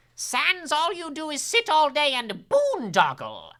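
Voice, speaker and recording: A high-pitched, put-on character voice speaks. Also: fairly slow pace. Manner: put-on, bossy, scolding.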